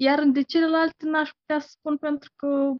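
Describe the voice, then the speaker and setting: A woman speaks in a somewhat breathy voice. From Moldova. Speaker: interviewee. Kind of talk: casual interview.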